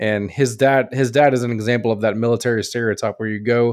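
Talking at a very fast pace, a man keeps a medium pitch. His intonation stays fairly even. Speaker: podcast panelist. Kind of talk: casual chat.

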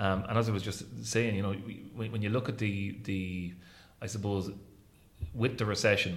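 Audible room echo around a man with a fairly low pitch, monotone and flat, at a fairly quick pace. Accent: Irish Midlands. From Ireland, County Roscommon. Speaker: hotel general manager. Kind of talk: interview. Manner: halting, many repetitions and fillers.

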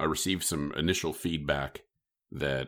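A man with a Midwestern US accent speaks in a very deep, low pitch with vocal fry. His pace is fairly quick and his intonation fairly even. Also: very clean recording, silent background. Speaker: podcast host. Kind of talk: casual chat.

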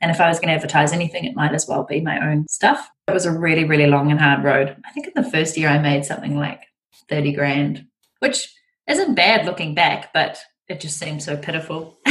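A woman with a very deep, low pitch talks fairly quickly in a somewhat breathy voice with ordinary pitch variation. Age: 40s. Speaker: entrepreneur and business mentor. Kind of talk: casual interview chat.

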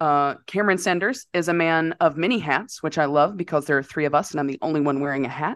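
A woman talks at a fairly quick pace in an ordinary speaking voice with ordinary pitch variation. The sound is dry and close with no echo, and the background is quiet. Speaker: podcast host.

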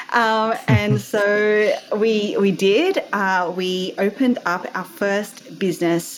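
A woman talks in an Australian accent at a medium pitch. Her pitch variation is ordinary. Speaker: entrepreneur. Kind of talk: casual interview chat.

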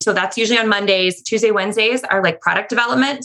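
A woman talks at a very fast pace in an animated tone. Noticeable background noise runs behind her. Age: 30s. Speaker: online teacher-resource seller. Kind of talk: interview.

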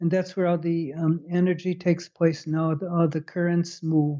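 A man with an American accent speaks in a high, monotone, flat voice. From US Midwest, Chicago. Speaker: retired neuroscientist. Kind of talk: interview explaining research. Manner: halting with repetitions.

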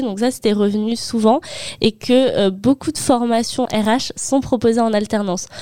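A woman speaks at a fairly slow pace in a dark, mellow, fairly high voice with fairly even intonation, in a dry, close sound with no echo. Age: 20s. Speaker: HR apprentice and master's student. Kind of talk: interview. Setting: studio.

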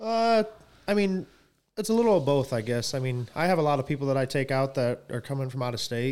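Moving at a fairly quick pace, a man with an American accent and fairly high pitch makes very wide pitch swings. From Michigan, Coldwater. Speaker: turkey hunter. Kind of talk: casual chat.

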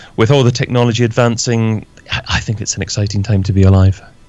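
With a Scottish accent, a man speaks in a fairly even intonation. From Scotland. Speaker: podcaster and online entrepreneur. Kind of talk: interview. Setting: home office.

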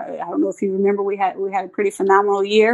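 A woman with a Southern US accent speaks at a medium pitch. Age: 40s. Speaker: softball coach. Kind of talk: casual interview. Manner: animated.

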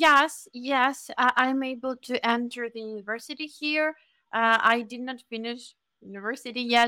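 In a very clean recording with a silent background, a woman with a Ukrainian accent speaks in a high, bright, sharp voice with fairly even intonation. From Ukraine. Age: young. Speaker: Ukrainian refugee. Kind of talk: interview.

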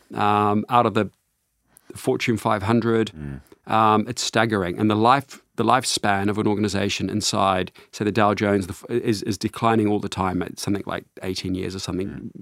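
A man with a New Zealand accent speaks at a fairly quick pace in a fairly low voice, on a very clean recording with a silent background. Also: fairly even intonation. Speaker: CEO and author on organization design. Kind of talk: interview. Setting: studio.

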